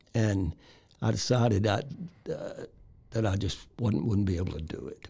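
In a Texan accent, a man speaks at a fairly low pitch with a dark, mellow tone, vocal fry, and lively intonation. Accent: Texan Southern American. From Texas, Waco area. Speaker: author. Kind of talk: interview. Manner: halting.

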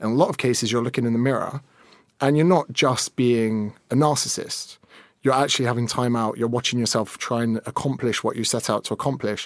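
A man talks fairly quickly in a normal speaking voice, medium in pitch, with fairly even intonation. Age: 30s. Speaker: personal trainer and fitness influencer. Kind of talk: casual chat.

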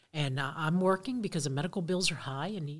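On a very clean recording with a silent background, a woman talks at a fairly low pitch. Her delivery is fairly quick and somewhat breathy. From Miami, raised there from age five; born in Cuba. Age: 50s. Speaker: outdoor center owner and director. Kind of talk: casual interview chat.

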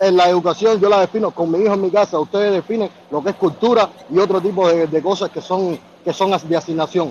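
Fairly even intonation from a man with a high-pitched voice, moving at a fairly quick pace. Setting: phone call.

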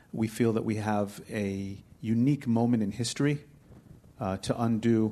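At a moderate pace, an unremarkable speaking voice with an American accent keeps a fairly even intonation. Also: man. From United States and Israel. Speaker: researcher and author, panelist. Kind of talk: panel discussion. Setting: stage with live audience.

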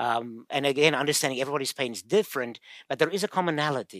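A man with a South African accent and a fairly high pitch speaks at a very fast pace on a very clean recording with a silent background. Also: dry, close sound with no echo. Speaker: physical therapist and pain researcher. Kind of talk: interview, casual explanation.

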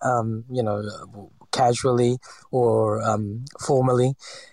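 Heard dry and close with no echo, a man speaks at a medium pitch in a monotone, flat intonation. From Philippines (Cebu). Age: 40s. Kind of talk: interview. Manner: halting.

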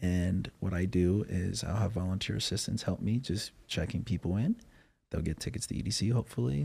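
A man with an American accent speaks at a fairly quick pace, with very even loudness. His voice is fairly low, somewhat breathy, and dark and mellow in tone. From Wyoming, US. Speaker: chiropractor. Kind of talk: casual interview chat. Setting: podcast studio. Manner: animated.

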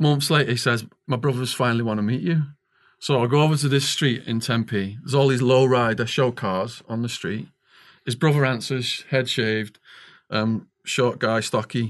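A man speaks with a Liverpool accent at a medium pitch. The background is quiet. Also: ordinary pitch variation, moderate pace. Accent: Liverpool-area Northern English (Widnes). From northwest England. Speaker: author and former stock trader, ex-prisoner.

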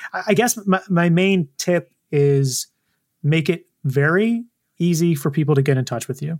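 A man with a high pitch speaks at a fairly slow pace with ordinary pitch variation, the sound dry and close with no echo. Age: 40s. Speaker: comedy prank group founder. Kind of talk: casual interview.

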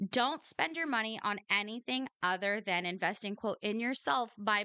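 Using a plain, everyday voice, a woman speaks fairly slowly at a fairly high pitch with ordinary pitch variation. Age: 30s. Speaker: podcast host. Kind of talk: personal monologue podcast. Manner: casual, with frequent filler words.

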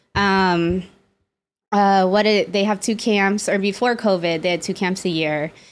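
A woman with an American accent speaks at a fairly slow pace and medium pitch, in an ordinary speaking voice. Her intonation stays fairly even and her loudness very even, on a very clean recording with a silent background. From Las Vegas, Nevada. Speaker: psychotherapist. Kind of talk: casual chat.

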